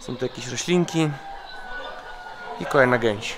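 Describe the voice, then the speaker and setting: A man's voice over noticeable background noise. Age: 20s. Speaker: travel vlogger. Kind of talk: casual vlog narration.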